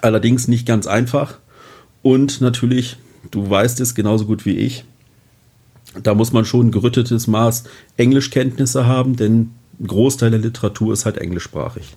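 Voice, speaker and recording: A man with a medium pitch and a dark, mellow tone speaks somewhat breathily at a moderate pace, keeping his intonation fairly even and pausing long and often. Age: 40s. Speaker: fire protection manager. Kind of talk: interview.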